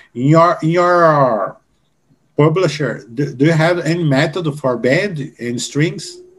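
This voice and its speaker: With a Portuguese accent, a man speaks at a very slow pace, his fairly high pitch showing ordinary variation. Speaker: music educator and podcast host. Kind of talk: interview with live translation. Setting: video call. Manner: halting English.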